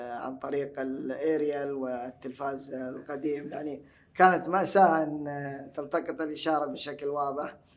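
Against noticeable background noise, a man talks at a fairly slow pace in a fairly high pitch with fairly even intonation. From Hejaz, Saudi Arabia. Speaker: translator and language enthusiast. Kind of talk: podcast interview. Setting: stage with audience at book fair. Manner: formal, articulate, classical vocabulary.

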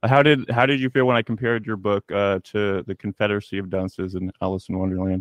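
Very fast speech from a man, fairly low in pitch, with ordinary pitch variation. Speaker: podcast host. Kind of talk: casual interview chat. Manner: rambling, informal.

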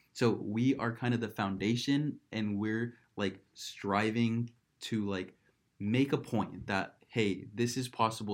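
A man's normal speaking voice, medium in pitch, with fairly even intonation. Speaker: startup co-founder. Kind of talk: casual chat.

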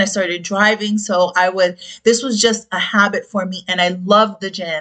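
In an American accent, a woman speaks at a fairly slow pace. Hers is an unremarkable speaking voice with fairly even intonation. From South Florida, Dominican family. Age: 40s. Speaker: podcast host, health and fitness coach. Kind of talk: casual personal testimony.

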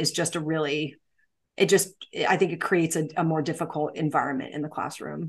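Against a quiet background, a woman speaks. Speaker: special education teacher and podcast host. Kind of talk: casual chat between co-hosts. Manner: loud.

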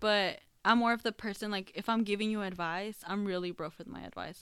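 At a fairly quick pace, a woman with a plain, everyday voice talks at a medium pitch with fairly even intonation on a very clean recording with a silent background. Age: 20s. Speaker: podcast co-host. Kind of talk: casual chat.

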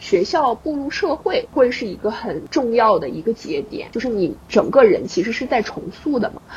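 A woman speaks at a moderate pace in a high voice, with hardly any pauses and noticeable background noise. Her loudness swings widely and her pitch leaps across a very wide range. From Dalian, northeast China. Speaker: podcast host. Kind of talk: casual chat.

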